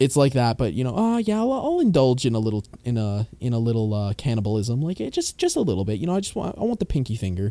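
A man with a Canadian accent talks very fast with hardly any pauses, his dark, mellow tone set at a medium pitch. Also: lively intonation. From Canada. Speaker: podcast host. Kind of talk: casual chat.

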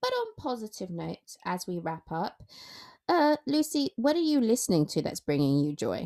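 A woman's fairly high voice with very wide pitch swings, in a dry, close sound without echo. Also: moderate pace. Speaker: podcast host and freelance journalist. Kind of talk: casual chat. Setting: remote recording. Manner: loud; animated.

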